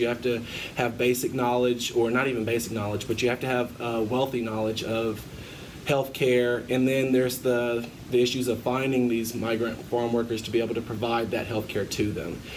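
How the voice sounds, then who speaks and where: Over noticeable background noise and audible room echo, a man speaks fairly quickly at a medium pitch with monotone, flat intonation. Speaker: student interviewer. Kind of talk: interview.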